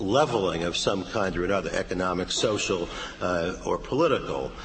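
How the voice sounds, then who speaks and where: A man delivers his words at a moderate pace. Noticeable background noise runs behind him. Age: 70s. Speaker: political science professor. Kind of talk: academic panel commentary. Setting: stage with audience. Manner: halting.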